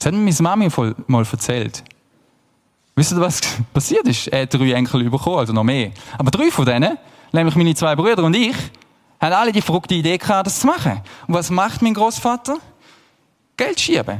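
A man with a high pitch talks at a fairly quick pace in an animated tone, his pitch swinging very widely while his loudness stays very even, with long, frequent pauses. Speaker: pastor. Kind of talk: sermon.

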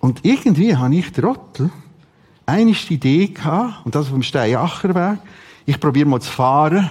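A man with a Swiss accent talks at a fairly slow pace, his fairly high voice somewhat breathy and swinging very widely in pitch. He leaves long, frequent pauses. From Switzerland, Aargau (Rothrist). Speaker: preacher. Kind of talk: sermon. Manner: animated.

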